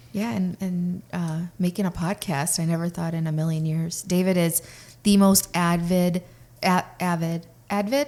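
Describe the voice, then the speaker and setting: Fairly low and dark, a woman's mellow voice moves at a fairly slow pace with ordinary pitch variation. The recording is very clean, with a silent background. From Russian-speaking family, moved to US at age six. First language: Russian. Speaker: podcast co-host. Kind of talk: casual chat.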